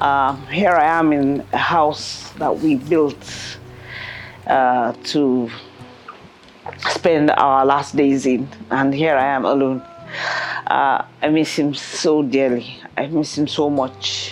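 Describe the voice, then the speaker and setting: Music plays behind a woman whose voice is very deep and low, at a very slow pace with long, frequent pauses. Her intonation is fairly even and her loudness very even. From England. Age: 60s. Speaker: entrepreneur and mother. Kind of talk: personal interview. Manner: halting.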